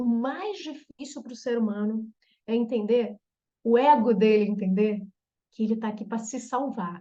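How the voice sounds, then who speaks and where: The voice has a dark, mellow tone, somewhat breathy, moving at a fairly slow pace with long, frequent pauses. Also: woman, fairly high pitch for a woman, ordinary pitch variation. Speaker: therapist specializing in trauma reprogramming. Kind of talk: online group therapy talk.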